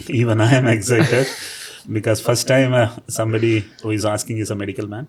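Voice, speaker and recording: Delivered in a monotone, flat intonation at a very fast pace, the speech comes with noticeable background noise. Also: man, medium pitch for a man. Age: 60s. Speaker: businessman. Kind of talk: interview.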